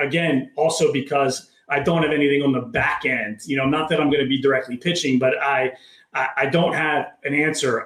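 Using a normal speaking voice, a man with an American accent talks at a fairly quick pace. His pitch is fairly high and his intonation fairly even. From Maryland, near Baltimore. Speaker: entrepreneur and author. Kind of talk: interview conversation.

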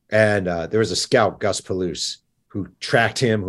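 Over a quiet background, a man with an American accent talks at a fairly quick pace in a plain, everyday voice, his fairly low pitch showing ordinary variation. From New York. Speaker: sports journalist and author. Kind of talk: interview.

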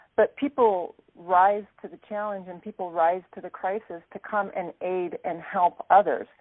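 A plain, everyday voice from a woman with an American accent, medium in pitch, fairly slow and fairly even in intonation, with hardly any pauses. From Alaska, US. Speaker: aid worker, HR and finance manager. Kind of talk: interview.

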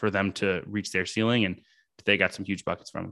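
An ordinary speaking voice with fairly even intonation against a quiet background. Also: man. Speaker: sports journalist. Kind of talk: casual chat.

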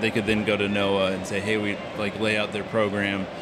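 Amid audible room echo and noticeable background noise, a man speaks at a fairly low pitch and a moderate pace in a monotone, flat intonation. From South Carolina. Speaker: fishing podcast host. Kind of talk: interview conversation. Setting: fishing trade show.

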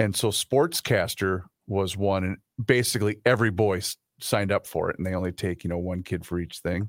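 A man talks at a fairly quick pace in a plain, everyday voice with fairly even intonation. The sound is dry and close with no echo, on a very clean recording with a silent background. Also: fairly low pitch for a man. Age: 40s. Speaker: radio co-host. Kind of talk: casual chat.

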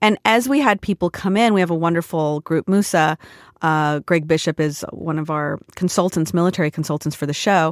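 With a West Coast US accent, a woman speaks at a fairly quick pace with a fairly low pitch and ordinary pitch variation, in a very clean recording with a silent background and a dry, close sound with no echo. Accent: General American, West Coast. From US West Coast, Portland, Oregon and San Diego. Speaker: TV showrunner and former actor. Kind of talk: casual interview.

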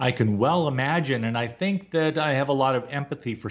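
A man in an ordinary speaking voice, fairly quick, with ordinary pitch variation and a quiet background. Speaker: radio host. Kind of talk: radio interview.

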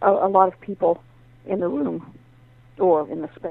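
A woman speaks with an American accent at a fairly low pitch. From north central West Virginia. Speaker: novelist and writing teacher. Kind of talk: interview. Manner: halting.

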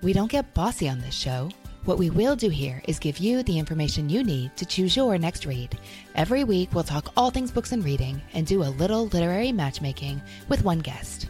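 A woman's fairly low voice with very wide pitch swings, music in the background. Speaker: podcast host. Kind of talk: warm, conversational book talk.

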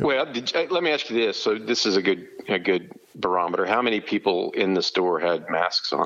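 A man speaks in a plain, everyday voice, fairly low in pitch and at a fairly quick pace. His loudness stays very even while his intonation is lively. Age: 50s. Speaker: sports recruiting journalist and barbecue restaurant owner. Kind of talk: casual chat.

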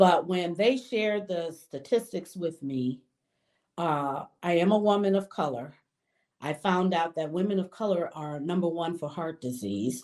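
Against a quiet background, a woman with an American accent uses a plain, everyday voice, fairly low in pitch, speaking at a fairly slow pace with lively intonation. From Detroit, Michigan. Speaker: banker. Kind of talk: interview.

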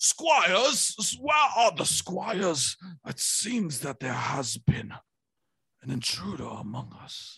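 A man's raspy, put-on character voice, high-pitched and fairly slow, with very wide pitch swings and big swings in loudness. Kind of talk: archaic, formal. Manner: pompous, regal.

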